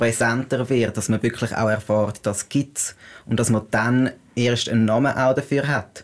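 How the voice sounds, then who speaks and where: The recording is very clean, with a silent background. A man speaks at a moderate pace in a monotone, flat intonation. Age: 20s. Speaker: non-binary person sharing experience. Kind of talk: interview.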